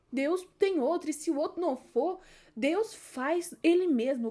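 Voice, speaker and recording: On a very clean recording with a silent background, a woman speaks in a dark, mellow tone with lively intonation. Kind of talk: informal bible devotional talk. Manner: hesitant, self-correcting.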